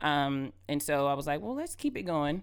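The speaker has an American accent and a moderate pace, in a very clean recording with a silent background. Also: woman. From Georgia, US South. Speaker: singer-songwriter and nonprofit founder. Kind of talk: interview.

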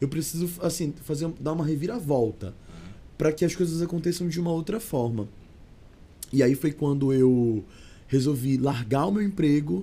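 A man's fairly high, somewhat breathy voice with a dark, mellow tone, lively intonation and a moderate pace. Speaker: singer and actor. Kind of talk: casual chat. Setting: studio.

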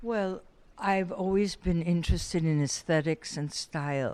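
The recording is very clean with a silent background as a woman speaks at a fairly slow pace with fairly even intonation. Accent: American. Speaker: photographer. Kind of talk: interview.

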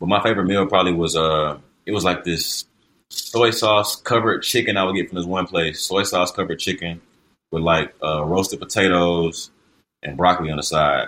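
Over a very clean recording with a silent background, a man speaks with a very deep, low pitch and a bright, sharp tone. His pace is fairly quick and his intonation fairly even. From US South, Columbia, South Carolina. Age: 20s. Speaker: professional basketball player. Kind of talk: casual chat.

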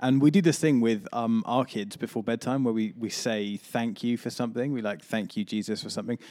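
A man talks fairly quickly with hardly any pauses, in a dark, mellow tone. The recording is very clean, with a silent background. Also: medium pitch for a man, ordinary pitch variation. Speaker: pastor and podcast host. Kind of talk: casual chat.

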